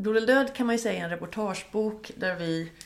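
This is a woman talking. Her intonation shows ordinary pitch variation. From Sweden, Gothenburg suburb. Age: 40s. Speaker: music journalist and author. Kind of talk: casual interview. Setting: home kitchen. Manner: animated.

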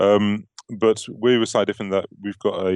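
A man speaks with a British accent at a moderate pace, his pitch fairly low. His intonation stays fairly even against a quiet background. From UK. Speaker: software company representative. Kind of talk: casual chat. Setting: studio.

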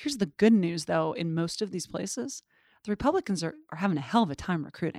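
A woman talks at a very fast pace in a fairly low, dark and mellow voice with lively intonation and an American accent. The recording is very clean with a silent background and a dry, close sound with no echo. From Montana. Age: 40s. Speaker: political organization president. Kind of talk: interview. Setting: office building.

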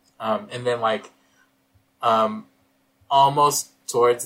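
With an American accent, a man speaks at a medium pitch in a bright, sharp tone. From US West Coast, Northern California. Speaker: podcast host, film reviewer. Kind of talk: casual chat. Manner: hesitant, frequent filler words.

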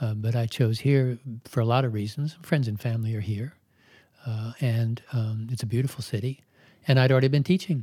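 Speaking with an American accent, a man talks at a fairly quick pace with a medium pitch, ordinary pitch variation, a dark, mellow tone and a somewhat breathy quality, in a very clean recording with a silent background. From Maryland, US. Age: 70s. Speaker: yoga teacher. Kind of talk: interview.

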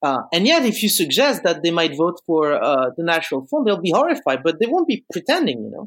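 In a very clean recording with a silent background, a man with a French accent speaks at a fairly quick pace with hardly any pauses, his high voice moving in very wide pitch swings. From France, Bordeaux. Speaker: philosophy student. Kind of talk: casual chat.

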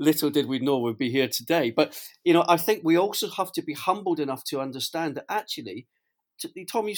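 A man with a Scottish accent speaks at a moderate pace in a high voice with lively intonation, on a very clean recording with a silent background. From Scotland. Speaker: business executive, co-host. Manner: hesitant, fillers.

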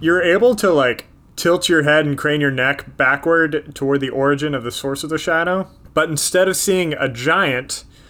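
A man talks at a moderate pace in a normal speaking voice, fairly high with ordinary pitch variation. The recording is very clean with a silent background. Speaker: game master. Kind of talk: tabletop role-playing game session, casual banter and narration.

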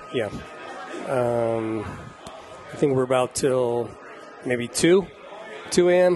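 A man with an American accent speaks at a very slow pace and medium pitch, with long, frequent pauses. Music plays in the background. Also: ordinary pitch variation. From Indiana. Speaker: chef and taco restaurant owner. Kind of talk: casual chat. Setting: studio kitchen.

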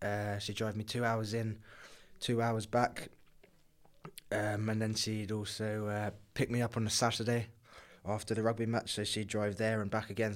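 In a southern English accent, the speaker talks at a moderate pace in a monotone, flat intonation, recorded very cleanly over a silent background. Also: man. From southern England, Kent. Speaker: professional rugby player. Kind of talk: interview.

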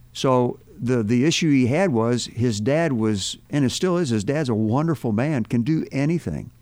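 A man talks in a normal speaking voice at medium pitch and a moderate pace. His intonation is lively and his loudness very even. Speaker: retired police officer turned church minister. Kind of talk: casual chat. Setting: studio.

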